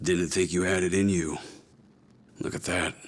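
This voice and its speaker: Using a put-on character voice, a man speaks in a raspy, very deep, low register with monotone, flat intonation at a moderate pace. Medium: video game. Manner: cool, terse.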